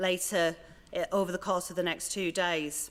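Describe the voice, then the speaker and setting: A woman speaks with a Leeds accent. Her pace is moderate. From northern England, Leeds. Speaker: museum organisation director. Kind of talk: conference welcome speech.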